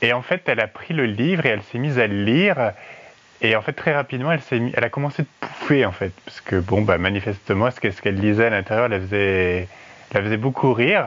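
Noticeable background noise accompanies a man at medium pitch. He goes at a very fast pace with lively intonation. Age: 30s. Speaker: listener contributor. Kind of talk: personal anecdote.

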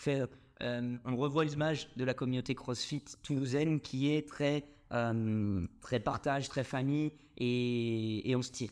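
Very slow speech from a man, intonation fairly even. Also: medium pitch for a man. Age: 20s. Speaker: CrossFit gym co-owner. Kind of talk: casual interview.

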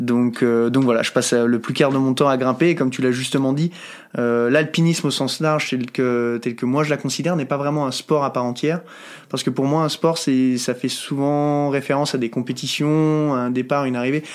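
Recorded very cleanly against a silent background, a man uses a normal speaking voice at medium pitch, with fairly even intonation and a moderate pace. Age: 30s. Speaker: mountaineer and high-mountain guide. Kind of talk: interview conversation.

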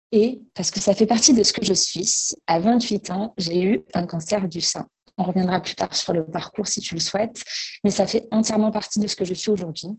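Somewhat breathy, a woman talks at a moderate pace and medium pitch. Her intonation stays fairly even. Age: 30s. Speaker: bank employee and breast cancer awareness organizer. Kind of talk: interview testimony.

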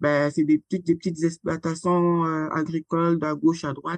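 A woman with a fairly low pitch uses a normal speaking voice, the sound dry and close with no echo. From Republic of the Congo (Brazzaville). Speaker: founder and president of an agroecology association. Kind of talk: interview conversation.

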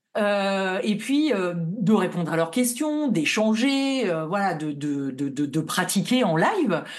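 With audible room echo, a woman speaks at a very slow pace with hardly any pauses and very wide pitch swings. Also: medium pitch for a woman. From northern France, Lille. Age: 40s. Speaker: tarot reader. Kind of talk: casual interview. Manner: hesitant, many fillers.

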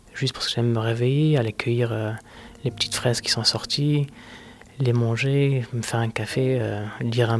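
Calm in tone, a man speaks at a fairly quick pace. His medium-pitched voice stays monotone and flat. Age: 30s. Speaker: person living with multiple sclerosis. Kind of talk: personal testimony interview.

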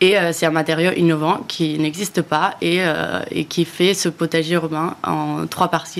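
At a fairly slow pace, a woman speaks in a fairly low pitch with vocal fry and monotone, flat intonation. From Spain, Barcelona. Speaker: startup founder. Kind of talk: interview.

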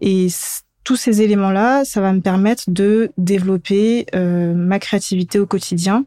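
A woman's dark, mellow voice at medium pitch with fairly even intonation, in a dry, close sound with no echo and a very clean recording over a silent background. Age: 20s. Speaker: graphic designer. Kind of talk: interview.

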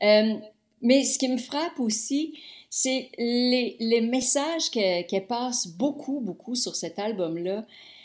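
In a Quebec accent, a woman speaks at a very slow pace with a high pitch and lively intonation. The recording is very clean, with a silent background. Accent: Québécois French. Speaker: music TV host. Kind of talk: casual chat.

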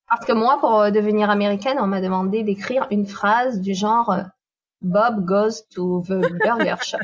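A woman with an ordinary speaking voice, medium pitch, fairly even intonation, and a fairly slow pace. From southern France, Nîmes. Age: 40s. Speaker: expatriate. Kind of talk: interview.

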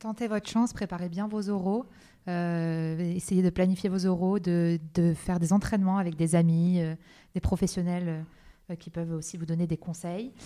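In a very clean recording with a silent background, a woman speaks slowly-ish, fairly low in pitch, with a dark, mellow tone and fairly even intonation. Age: 20s. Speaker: business school student. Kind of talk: interview.

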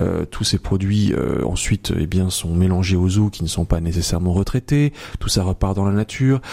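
Speaking at a moderate pace, a man has a very deep, low pitch and a dark, mellow tone. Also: ordinary pitch variation. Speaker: journalist and author. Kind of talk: radio interview.

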